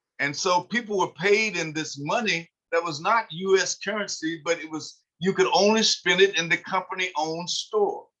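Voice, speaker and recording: In a raised, projected voice, a man speaks at a high pitch with a bright, sharp tone. His pace is moderate and his intonation fairly even. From eastern Kentucky, Harlan County (Appalachia). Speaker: author and sociologist. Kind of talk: online history talk. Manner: halting, many filler sounds.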